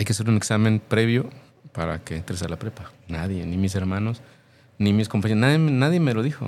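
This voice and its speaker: A man's fairly low voice at a fairly quick pace, with ordinary pitch variation and long, frequent pauses. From Mexico, Jalisco (Tlaquepaque). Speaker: mime performer. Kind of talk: interview.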